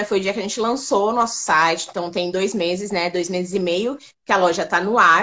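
This is an unremarkable speaking voice. It moves at a fairly quick pace with lively intonation. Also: woman. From São Paulo, Brazil. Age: 30s. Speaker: makeup store founder. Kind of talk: interview.

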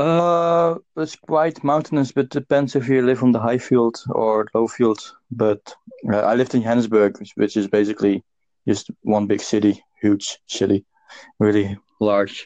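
With a Dutch accent, a man speaks at a fairly slow pace with ordinary pitch variation. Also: medium pitch for a man, dry, close sound with no echo. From Netherlands. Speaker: podcast host. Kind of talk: casual chat. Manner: halting.

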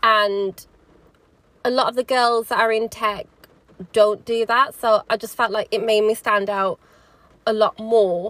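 Speaking with a slight Birmingham accent, a woman uses a fairly high pitch and fairly even intonation, recorded with a dry, close sound and no echo. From Birmingham, England. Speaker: podcast host. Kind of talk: solo podcast monologue. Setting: in a car, rain in background. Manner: casual, chatty, hesitant with fillers.

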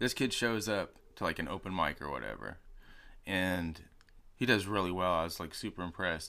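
A man speaks in a very deep, low voice with vocal fry and a bright, sharp tone, using ordinary pitch variation. The recording is very clean, with a silent background. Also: moderate pace. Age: 30s. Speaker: rapper and sound engineer. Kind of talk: casual chat.

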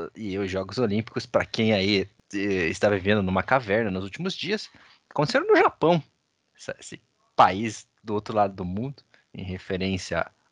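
Recorded with a dry, close sound and no echo, a man speaks at a moderate pace with a fairly low pitch, ordinary pitch variation, and long, frequent pauses. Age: 20s. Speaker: podcast host. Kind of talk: casual chat.

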